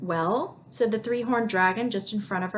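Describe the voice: Reading aloud, plain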